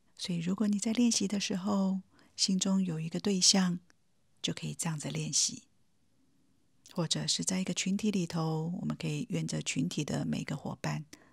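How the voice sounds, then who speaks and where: Calm and gentle in tone, a woman speaks at a moderate pace. The recording is very clean with a silent background. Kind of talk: guided meditation. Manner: calm, gentle, warm, addressing the listener directly as 你.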